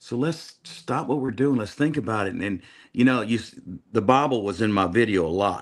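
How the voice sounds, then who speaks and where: A man talks at a fairly quick pace with an American accent, using a plain, everyday voice and ordinary pitch variation. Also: very clean recording, silent background. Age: 60s. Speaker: country singer. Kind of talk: casual chat.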